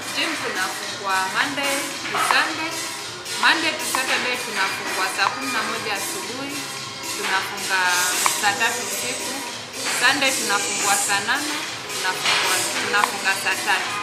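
Over loud music in the background, a woman speaks at a moderate pace with long, frequent pauses. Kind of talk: interview answer. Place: office.

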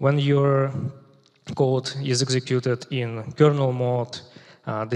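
A man speaks with monotone, flat intonation. Behind him the background is quiet. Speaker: software engineer, conference speaker. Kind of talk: technical conference talk. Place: stage. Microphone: headset.

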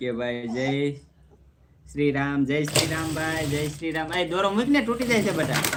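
Noticeable background noise and audible room echo surround speech with lively intonation. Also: man, fairly high pitch for a man. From Gujarat, Saurashtra (Talaja taluka, Bhavnagar district). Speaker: vlogger. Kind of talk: live stream chat with viewers. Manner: animated.

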